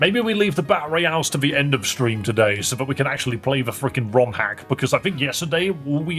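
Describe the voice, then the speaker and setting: A man with a Geordie accent talks at a fairly quick pace and a medium pitch, with lively intonation and hardly any pauses, as music plays in the background. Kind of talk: casual, conversational. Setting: livestream.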